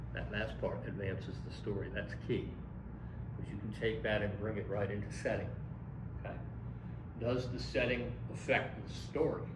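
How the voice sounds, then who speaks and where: A man with an American accent speaks with long, frequent pauses over noticeable background noise. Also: moderate pace. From US Northeast (Philadelphia). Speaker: college English instructor. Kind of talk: lecture. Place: classroom. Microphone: camera far.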